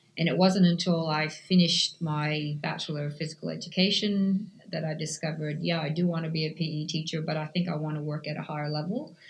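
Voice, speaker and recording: A woman speaks at a fairly quick pace in a fairly low, somewhat breathy voice with monotone, flat intonation. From Canada. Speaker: cycling coach. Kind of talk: interview.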